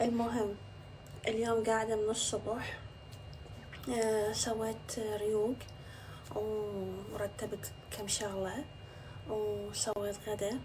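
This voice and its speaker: A woman speaking at a very slow pace, with long, frequent pauses and noticeable background noise. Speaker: social media influencer. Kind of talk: casual vlog talk to camera. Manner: chatty.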